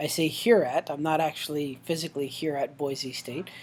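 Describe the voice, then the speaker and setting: A fairly high-pitched man with a slight Canadian accent. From Newfoundland, Canada. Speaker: professor. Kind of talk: course welcome video. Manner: hesitant, many fillers.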